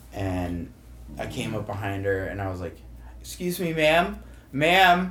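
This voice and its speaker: A man with an American accent speaks at a moderate pace, with audible room echo and noticeable background noise. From St. Louis, Missouri (Kirkwood). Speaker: bar manager. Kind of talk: casual chat.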